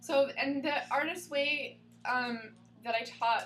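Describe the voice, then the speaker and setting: A woman is speaking with audible room echo. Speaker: spiritual counselor teaching a class. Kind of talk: class lecture to small group. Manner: loud; casual, many fillers.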